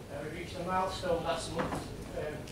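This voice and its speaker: Loud background noise and audible room echo surround a man talking at a fairly quick pace. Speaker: officer presenting a report. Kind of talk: formal committee report presentation. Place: meeting room.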